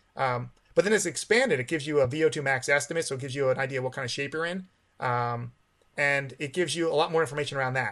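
Against a quiet background, a man speaks very fast at a fairly high pitch. His pitch variation is ordinary. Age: 40s. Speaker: masters distance runner and running watch company employee. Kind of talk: casual interview.

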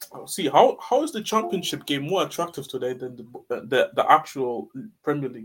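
With an unremarkable speaking voice, a man talks in a fairly high pitch, his intonation lively and his loudness swinging a lot. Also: fairly quick pace. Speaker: co-host or viewer chatting. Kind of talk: casual banter. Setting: live stream.

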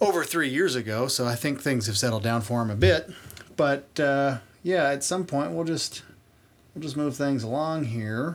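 This man has an ordinary speaking voice, fairly high in pitch, with lively intonation at a moderate pace. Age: 30s. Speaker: podcast host. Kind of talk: casual comedic chat, profane.

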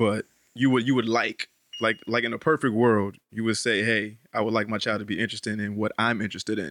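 In a normal speaking voice with an American accent, a man talks at a fairly quick pace in a medium pitch with fairly even intonation, in a dry, close sound with no echo. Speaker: podcast host. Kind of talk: casual banter, comedic. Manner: profane, joking, loud.

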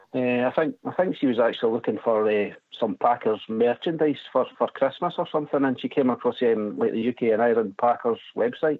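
With a Scottish accent, the speaker moves at a fairly quick pace, keeping loudness very even and pitch variation ordinary. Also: man, medium pitch for a man. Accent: Scottish lilt. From Scotland, West Lothian near Edinburgh. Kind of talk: casual chat. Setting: phone call.

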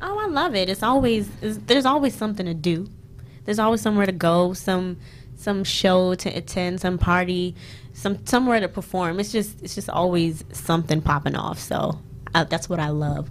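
A woman talks in a normal speaking voice at a medium pitch. Her pace is moderate and her intonation lively. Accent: American. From US Mid-Atlantic, Prince George's County, Maryland. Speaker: singer-songwriter. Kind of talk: casual chat.

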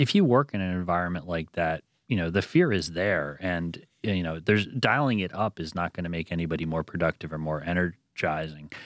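A man talks at a fairly quick pace with a very deep, low pitch. The sound is dry and close, with no echo. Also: ordinary pitch variation. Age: 40s. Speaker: magazine editor and author. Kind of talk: interview.

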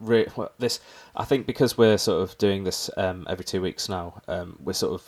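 Fairly even intonation carries this voice, with an English accent. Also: man. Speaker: podcast host. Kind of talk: casual chat.

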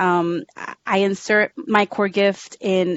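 With a normal speaking voice, a woman talks at a medium pitch. Her intonation is fairly even. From South Texas. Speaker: youth mentor and English teacher. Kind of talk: interview.

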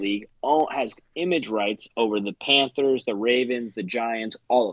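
A man with an American accent talks at a moderate pace and medium pitch with ordinary pitch variation, an ordinary speaking voice. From US Northeast. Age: 20s. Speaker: paintball player. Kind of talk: casual chat.

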